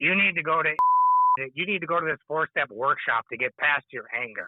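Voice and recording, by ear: In a put-on character voice, a man speaks gruffly and sternly at a fairly high pitch and a fairly quick pace.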